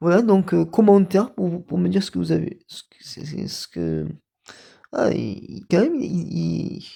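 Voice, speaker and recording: This man talks at a fairly slow pace, his loudness swinging widely. The recording is very clean with a silent background. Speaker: YouTuber presenting actors and video games. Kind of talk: casual video commentary. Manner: halting, many repetitions and fillers.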